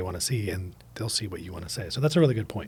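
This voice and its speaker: Talking very fast, the man sounds somewhat breathy, with ordinary pitch variation. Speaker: podcast co-host. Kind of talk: casual chat.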